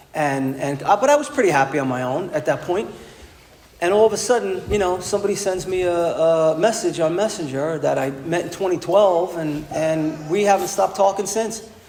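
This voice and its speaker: Amid noticeable background noise and audible room echo, a man with a New York accent talks at a moderate pace in a high pitch with ordinary pitch variation. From New York City (Bronx). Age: 60s. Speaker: recovery speaker. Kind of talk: testimony. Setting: stage with audience. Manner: animated.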